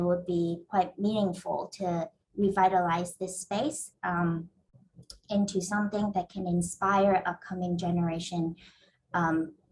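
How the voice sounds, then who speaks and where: A somewhat breathy voice at a fairly slow pace, with fairly even intonation. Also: woman. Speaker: real estate developer. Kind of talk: panel presentation. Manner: halting, many fillers.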